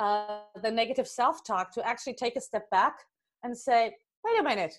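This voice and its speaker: Moderate pace with a German accent, ordinary pitch variation, and a quiet background. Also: woman. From Germany. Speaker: life coach. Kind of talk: interview.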